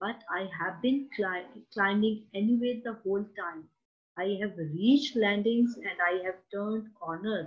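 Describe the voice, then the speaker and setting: A woman with a plain, everyday voice talks at medium pitch with ordinary pitch variation. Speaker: teacher giving an online poetry lesson. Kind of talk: educational lecture with poem reading. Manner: explanatory, teacherly, measured.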